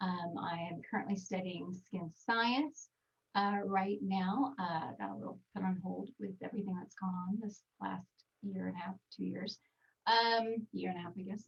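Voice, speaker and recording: A woman talks with a Texan accent at a fairly slow pace. Her voice is somewhat breathy, with ordinary pitch variation. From Texas. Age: 40s. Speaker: skincare trainer. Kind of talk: webinar presentation. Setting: video call from home recording studio.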